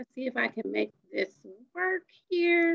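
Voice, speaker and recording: Recorded in a dry, close sound with no echo, a woman speaks with a high pitch. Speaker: magnet school coordinator. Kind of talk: informational presentation. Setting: video call. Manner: fast; energetic.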